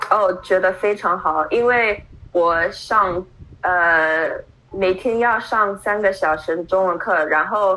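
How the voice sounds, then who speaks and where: A woman speaks at a very slow pace with fairly even intonation. Her loudness stays very even throughout. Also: medium pitch for a woman. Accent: English. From Brooklyn, New York, US. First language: English (speaking Chinese). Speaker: Chinese learner, adoptee. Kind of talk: interview. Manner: halting, many fillers.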